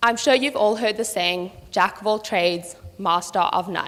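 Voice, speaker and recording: A woman's bright, sharp voice at a medium pitch. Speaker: student presenter. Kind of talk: prepared talk to audience.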